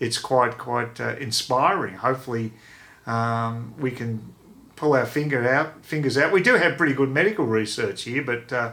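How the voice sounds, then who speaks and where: With an Australian accent, a man talks at a moderate pace and medium pitch, his tone bright and sharp and his pitch variation ordinary. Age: 60s. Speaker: vlogger. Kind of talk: casual vlog monologue. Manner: halting, many fillers and repeats.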